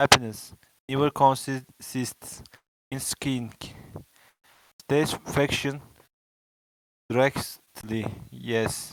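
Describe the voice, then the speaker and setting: A man with a Turkish accent speaks at a very slow pace and medium pitch, in a monotone, flat intonation. Long, frequent pauses break up his speech, and the sound is dry and close with no echo. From Turkey. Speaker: beginner English learner. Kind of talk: reading aloud. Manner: halting.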